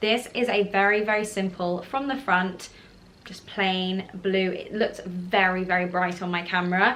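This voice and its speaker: Speaking in a southern English accent, a woman keeps her intonation fairly even. Her pace is fairly slow. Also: medium pitch for a woman. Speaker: fashion YouTuber. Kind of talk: casual haul video.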